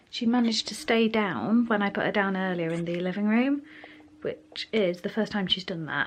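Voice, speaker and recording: A woman with an English accent, medium in pitch, at a moderate pace with ordinary pitch variation. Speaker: parenting vlogger. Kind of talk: casual vlog narration. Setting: at home. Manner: soft-spoken.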